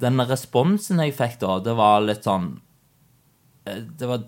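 In a very clean recording with a silent background, the words arrive very slowly. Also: man. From Norway. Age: 20s. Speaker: IT project manager. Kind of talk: interview.

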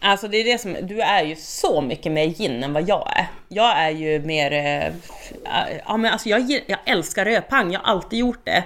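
A woman's lively intonation at medium pitch and a moderate pace, amid noticeable background noise. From northern Sweden, Skellefteå. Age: 30s. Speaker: podcast co-host, bartender. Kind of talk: casual chat.

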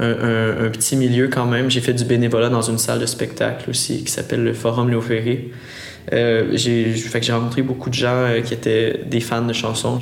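A man at a medium pitch speaks in a flat monotone, with audible room echo and noticeable background noise. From Quebec, Montérégie countryside. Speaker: singer-songwriter. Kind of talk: casual interview.

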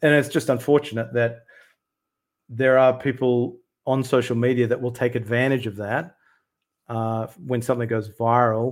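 Over a very clean recording with a silent background, a man speaks with an Australian accent. His moderate pace and medium pitch come with monotone, flat intonation. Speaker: UAP researcher and YouTuber. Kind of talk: casual interview.

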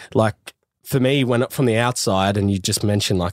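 In a very clean, dry, close recording with a silent background and no echo, a man speaks with an Australian accent. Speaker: podcast host. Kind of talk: casual chat.

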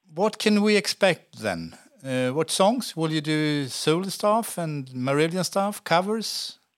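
On a very clean recording with a silent background, a man with a Swedish accent speaks at a very slow pace, with a fairly high pitch and lively intonation. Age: 50s. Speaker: podcast host. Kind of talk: interview. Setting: studio.

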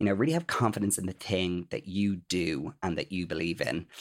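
In a very clean recording with a silent background, a man with an Irish accent speaks at a fairly quick pace. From Ireland. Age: 30s. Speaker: influencer and PR professional. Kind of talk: casual chat.

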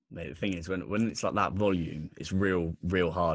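Against a quiet background, a man speaks at a very deep, low pitch with fairly even intonation. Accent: southern English. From southern England, Bournemouth, Dorset. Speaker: podcast host, guest. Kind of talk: casual chat.

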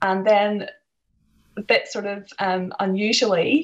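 Speaking at a very slow pace in a Northern Irish accent, a woman keeps a medium pitch and fairly even intonation. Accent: Northern Irish (County Antrim). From Northern Ireland, Larne, County Antrim. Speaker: author. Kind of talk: interview.

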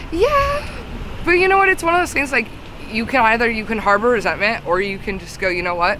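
Noticeable background noise runs through the clip. The speech moves at a fairly quick pace. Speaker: singer and music creator. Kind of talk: casual interview chat. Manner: chatty, laughs often, uses fillers.

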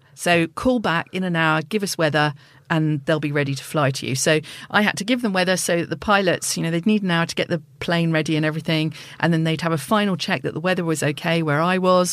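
A woman talks at a very fast pace. Her pitch is very deep and low, with ordinary variation. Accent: southern English. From southeast England. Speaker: polar explorer. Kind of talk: interview.

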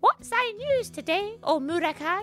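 A squeaky put-on character voice at an extremely high pitch and moderate pace, with faint music in the background.

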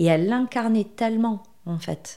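A woman's dark, mellow tone with ordinary pitch variation and a slight southwestern French accent, in a very clean recording with a silent background. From southwestern France. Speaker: marketing agency founder. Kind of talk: podcast interview. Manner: hesitant, with frequent fillers.

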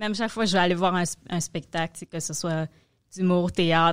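A woman's fairly low-pitched voice in a Quebec accent, in a very clean recording with a silent background. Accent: Québécois French. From Quebec, Montreal. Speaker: comedy manager and producer. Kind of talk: casual chat.

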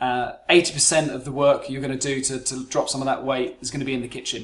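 Talking very fast in a fairly high pitch, a man with a British accent keeps a monotone, flat intonation. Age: 40s. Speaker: business psychologist and performance coach. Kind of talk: solo podcast monologue.

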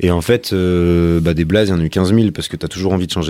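This man talks at a very fast pace with a very deep, low pitch. His tone is dark and mellow, and his intonation stays fairly even. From Paris suburbs. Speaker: rapper. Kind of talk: casual chat.

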